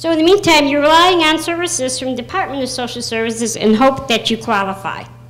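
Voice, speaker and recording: Faint music plays in the background as a woman talks at a fairly quick pace in an animated tone. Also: big swings in loudness. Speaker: counselor; speaker. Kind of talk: rally speech; public testimony. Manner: animated, humorous. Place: meeting room. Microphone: handheld.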